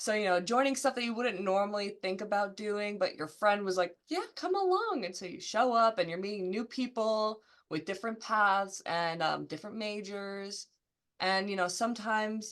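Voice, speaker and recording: A woman's medium-pitched voice with an American accent, moderate pace and ordinary pitch variation, against a quiet background. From New Jersey. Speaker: marketing and communications manager. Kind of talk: casual career interview. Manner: casual, filler-heavy.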